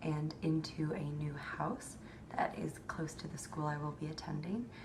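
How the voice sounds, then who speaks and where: Noticeable background noise sits behind a woman talking fairly slowly. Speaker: incoming medical student. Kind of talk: casual talk to camera.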